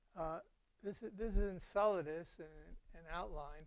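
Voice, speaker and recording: This man talks at a moderate pace with ordinary pitch variation. The sound is dry, with no echo. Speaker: lecturer. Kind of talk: lecture. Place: hall.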